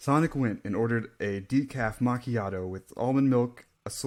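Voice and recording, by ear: The pitch varies in an ordinary way as a natural voice reads aloud.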